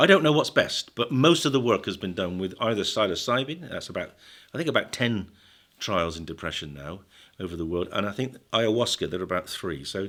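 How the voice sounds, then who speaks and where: A man with a British accent, fairly low in pitch, at a fairly quick pace, with very wide pitch swings and big swings in loudness, on a very clean recording with a silent background. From Britain. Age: 70s. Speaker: psychiatrist and drug researcher. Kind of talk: podcast interview.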